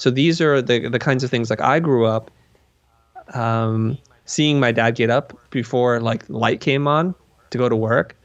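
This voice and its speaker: At medium pitch and a fairly slow pace, a man speaks in an ordinary speaking voice with very even loudness. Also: ordinary pitch variation. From Vietnam, raised in US. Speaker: design educator. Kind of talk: interview conversation.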